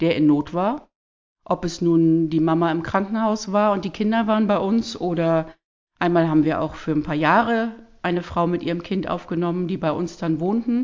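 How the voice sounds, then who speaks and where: An ordinary speaking voice goes along at a moderate speed, its pitch varying in an ordinary way. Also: woman, fairly low pitch for a woman. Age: 50s. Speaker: church leader and social worker. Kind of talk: casual interview, faith testimony.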